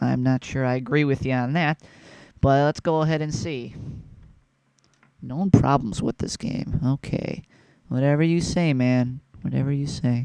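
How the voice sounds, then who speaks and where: Quietly and at a moderate pace, a man speaks with long, frequent pauses in a dry, close recording with no echo. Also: medium pitch for a man, ordinary pitch variation. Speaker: video game reviewer. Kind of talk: casual gameplay commentary. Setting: at home at night. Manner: hushed, keeping voice down; halting, many fillers.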